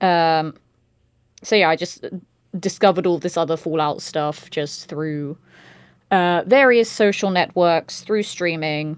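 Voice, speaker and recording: The speaker, with a British accent, moves at a fairly slow pace with long, frequent pauses and ordinary pitch variation. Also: woman, fairly low pitch for a woman. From Britain. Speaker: voice actor and streamer. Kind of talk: casual chat.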